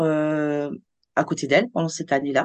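Against a quiet background, a woman talks with a very deep, low pitch. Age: 50s. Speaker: onco-hairdresser. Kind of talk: interview. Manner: animated.

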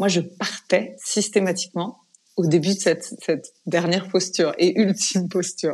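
Over a quiet background, a woman with a medium-pitched voice talks at a moderate pace with fairly even intonation. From France. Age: 40s. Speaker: yoga teacher. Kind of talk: interview conversation; guided breathing exercise.

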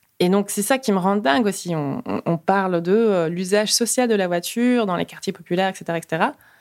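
The speech has hardly any pauses and ordinary pitch variation. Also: woman, medium pitch for a woman, moderate pace. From Luxembourg, Peruvian family. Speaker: road safety activist. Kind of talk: interview. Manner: animated, with many hesitations.

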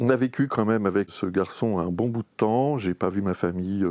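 In a very clean recording with a silent background and a dry, close sound with no echo, a man speaks at a moderate pace in a dark, mellow tone, with fairly low pitch and ordinary pitch variation. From Normandy, France. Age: 50s. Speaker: AIDS memorial association former president. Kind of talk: oral history interview. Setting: recorded interview in Paris.

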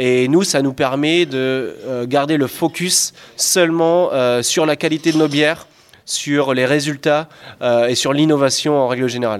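An ordinary speaking voice from a man, fairly high in pitch, fairly slow, with ordinary pitch variation and very even loudness. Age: 20s. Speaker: master brewer. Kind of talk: interview during brewery tour.

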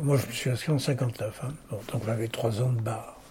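Here a man speaks in a dark, mellow tone. His voice is somewhat breathy. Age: 80s+. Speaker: lawyer and arbitrator. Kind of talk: interview.

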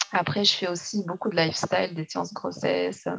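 The speaker is a woman. Her pitch sits fairly low. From Tunisia. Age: 30s. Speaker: newborn photographer. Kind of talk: interview.

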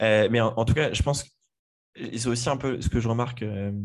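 Against a quiet background, a man speaks at a fairly low pitch. His intonation is fairly even. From France, Le Mans. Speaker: podcast host. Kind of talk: casual chat.

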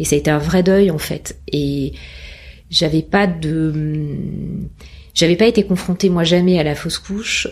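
With long, frequent pauses, a woman speaks at a fairly slow pace in a fairly even intonation. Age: 40s. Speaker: mother sharing her story. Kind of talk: testimony. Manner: halting, many fillers.

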